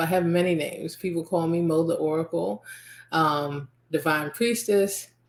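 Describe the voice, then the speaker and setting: A woman with an American accent has a normal speaking voice at a fairly low pitch. She talks at a fairly slow pace with ordinary pitch variation. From US, Nigerian American family. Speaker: podcast host and spiritual healer. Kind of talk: podcast monologue.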